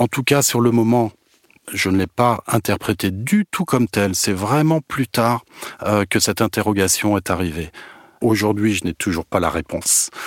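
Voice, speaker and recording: A man's medium-pitched voice, dry and close with no echo, with ordinary pitch variation at a moderate pace. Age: 50s. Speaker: manager. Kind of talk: testimony. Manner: halting.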